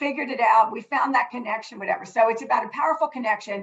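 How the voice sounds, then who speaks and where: With a high pitch and ordinary pitch variation, a woman speaks at a very fast pace. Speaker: nonprofit corporate partnerships executive. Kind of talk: panel discussion. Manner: loud.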